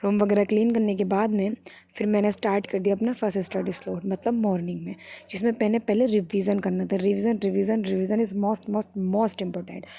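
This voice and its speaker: Her intonation monotone and flat, a woman speaks at a moderate pace in a medium-pitched voice. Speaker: student vlogger. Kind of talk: vlog narration.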